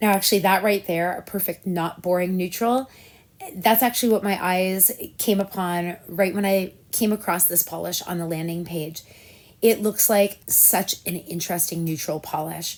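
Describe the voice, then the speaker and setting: A woman speaks in an ordinary speaking voice at medium pitch and a moderate pace. Her intonation stays fairly even. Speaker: nail polish reviewer. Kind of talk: casual talk to camera.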